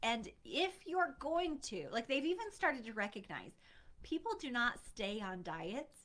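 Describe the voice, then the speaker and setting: Her raised, projected voice sits high for a woman and has a bright, sharp tone. She speaks fairly slowly with very wide pitch swings. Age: 40s. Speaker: weight loss coach. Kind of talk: solo podcast monologue. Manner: casual with fillers and restarts.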